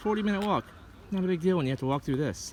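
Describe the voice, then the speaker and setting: A man is speaking. Noticeable background noise runs through the clip. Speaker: travel vlogger. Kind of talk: casual travel vlog narration. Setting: outdoors in a park.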